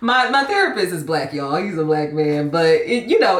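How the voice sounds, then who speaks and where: Loud, with audible room echo and noticeable background noise, a woman speaks at a moderate pace and a fairly low pitch. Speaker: lifestyle vlogger. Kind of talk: casual vlog monologue. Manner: animated.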